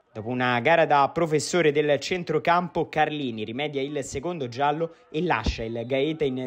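Speaking at a moderate pace, the man has a fairly high pitch and ordinary pitch variation. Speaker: sports reporter and commentator. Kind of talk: sports match highlights commentary, voiced over footage. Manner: brisk, energetic play-by-play delivery; clear and polished, like a scripted broadcast.

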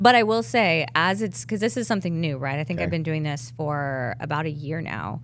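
Over light background noise, a woman with a very deep, low pitch talks at a fairly quick pace with very wide pitch swings and hardly any pauses. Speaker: fitness apparel entrepreneur; podcast guest. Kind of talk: casual chat. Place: studio. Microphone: studio mic.

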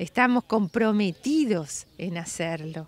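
Lively intonation carries a very slow delivery. The sound is dry, with no echo. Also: woman. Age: 60s. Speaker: restoration project leader. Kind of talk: interview. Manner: animated. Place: street.

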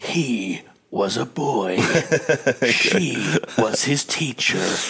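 A man puts on a raspy character voice at a medium pitch. He speaks at a very slow pace. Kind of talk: dramatic trailer voiceover.

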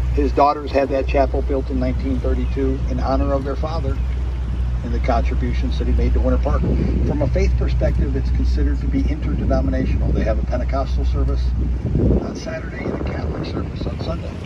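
Over loud background noise, a man rattles along at a very fast pace in a dry sound with no echo. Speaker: tour boat guide. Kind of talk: tour guide commentary. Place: boat.

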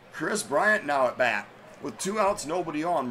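With noticeable background noise behind him, a man speaks at a fairly slow pace. His fairly high voice swings very widely in pitch. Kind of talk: live sports commentary.

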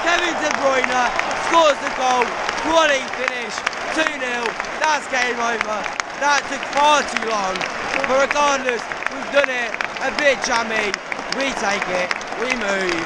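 The recording of this man's voice is dry, with no echo. He takes long, frequent pauses while crowd noise carries in the background. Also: ordinary pitch variation, fairly slow pace. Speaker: football fan vlogger. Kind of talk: live match reaction commentary. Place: stadium. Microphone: phone near.

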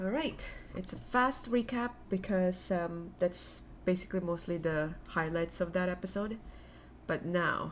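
A woman talks at a fairly slow pace, her pitch varying in an ordinary way, while light background noise sits behind her. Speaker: anime reaction youtuber. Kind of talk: casual vlog chat. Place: home room. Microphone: webcam.

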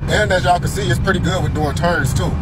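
A man speaks at a very fast pace over loud background noise. His voice sounds dry, with no echo. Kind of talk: casual vlog chat. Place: car. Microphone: phone near.

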